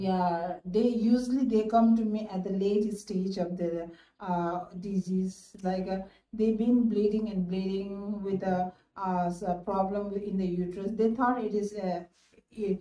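A woman speaks at a fairly slow pace in a monotone, flat intonation, with audible room echo around her. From Nepal. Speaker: gynecologist. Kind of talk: interview answer. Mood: calm, explanatory. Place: office. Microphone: phone near.

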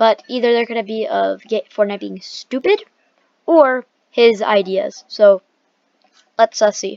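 In a dry, close sound with no echo, a woman with an ordinary speaking voice talks at a fairly high pitch with ordinary pitch variation. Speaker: gaming YouTuber. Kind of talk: reaction video commentary. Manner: casual, rambling.

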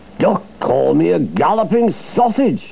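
A man in a put-on character voice speaks with a high pitch and an angry tone at a fairly slow pace, with clear background noise behind him. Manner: spluttering, angry.

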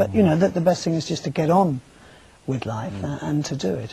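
Against light background noise, a man speaks very fast with lively intonation. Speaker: guest. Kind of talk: interview answer. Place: studio.

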